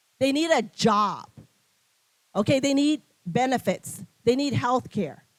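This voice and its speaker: Speaking with a non-native accent, a woman has a high pitch and lively intonation. Her pace is fairly slow, with long, frequent pauses. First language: not English. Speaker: nonprofit CEO, keynote speaker. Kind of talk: keynote speech. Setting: luncheon event with audience.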